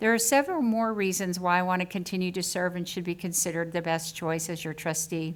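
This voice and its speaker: With an American accent, a woman speaks at a very fast pace with hardly any pauses. Her pitch is fairly low, with ordinary variation. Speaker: school board trustee and educator. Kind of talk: campaign speech. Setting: public board meeting.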